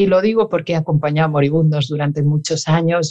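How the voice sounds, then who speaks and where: A woman speaks with a dark, mellow tone and a very deep, low pitch. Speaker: psychologist. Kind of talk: interview.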